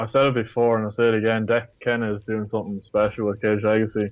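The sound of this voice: A man's fairly low voice at a fast pace with monotone, flat intonation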